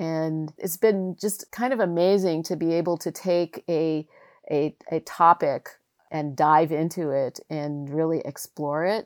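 In an ordinary speaking voice, a woman talks at a fairly low pitch and fairly slow pace, with a dry, close sound and no echo. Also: ordinary pitch variation, very clean recording, silent background. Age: 60s. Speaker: radio producer and oral historian. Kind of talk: interview.

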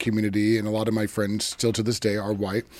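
A man's voice sits at a fairly low pitch, and background noise can be noticed behind it. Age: 40s. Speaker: podcast host. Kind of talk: interview conversation; show intro and outro.

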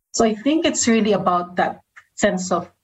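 Somewhat breathy, a woman speaks with a Filipino accent at a moderate pace. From Philippines. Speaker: communications and engagement leader. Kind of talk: casual interview chat.

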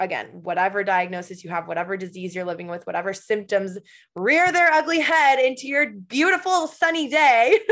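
In an American accent, a woman with a fairly high voice and energetic tone talks at a fairly quick pace with very wide pitch swings against a quiet background. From Michigan. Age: 20s. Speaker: podcaster and patient. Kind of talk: casual chat.

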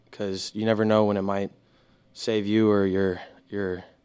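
With an American accent, a man speaks fairly slowly at a fairly low pitch in a monotone, flat delivery. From Houston, Texas. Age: young. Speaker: naval academy student. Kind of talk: casual chat.

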